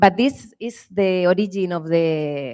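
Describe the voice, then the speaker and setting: A woman's fairly low voice with a strong Spanish accent and ordinary pitch variation. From Spain. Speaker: winemaker. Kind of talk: panel presentation.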